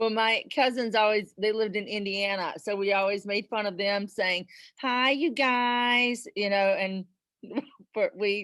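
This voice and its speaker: In a strong Southern US accent, the speaker talks at a fairly slow pace with fairly even intonation over a quiet background. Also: woman, fairly high pitch for a woman. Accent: Southern accent, still strong after 25 years. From South Carolina. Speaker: presenter. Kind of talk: casual chat.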